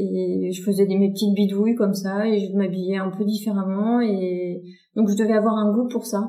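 Her delivery is monotone and flat at a moderate pace. The woman's pitch is medium, and audible room echo surrounds her. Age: 40s. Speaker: fashion designer and brand founder. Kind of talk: interview. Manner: hesitant, many fillers and repetitions.

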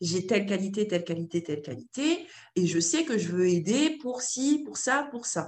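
Her voice somewhat breathy, a woman speaks at a moderate pace and medium pitch with very wide pitch swings. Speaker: entrepreneur and model agency founder. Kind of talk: casual interview conversation.

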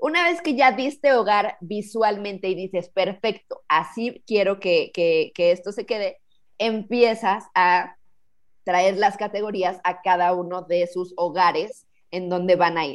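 Speaking at a fairly slow pace, a woman uses a normal speaking voice of medium pitch with ordinary pitch variation. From Mexico, Cuernavaca. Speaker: professional organizer. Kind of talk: interview conversation.

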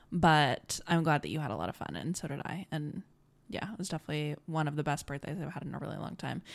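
A woman talks at a very fast pace in a very deep, low voice with vocal fry. The recording is very clean, with a silent background. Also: lively intonation. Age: 20s. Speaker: podcast co-host. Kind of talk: casual chat.

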